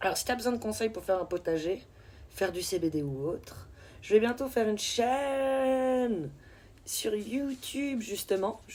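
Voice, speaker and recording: A woman speaks at a fairly slow pace with lively intonation and a fairly high pitch. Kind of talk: casual, conversational.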